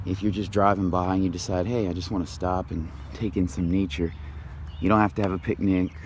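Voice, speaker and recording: Quietly, a man talks at a fairly quick pace in a very deep, low voice. His intonation is fairly even. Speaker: vlogger. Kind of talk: walking tour vlog. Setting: outdoors in a park. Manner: quiet, talking low.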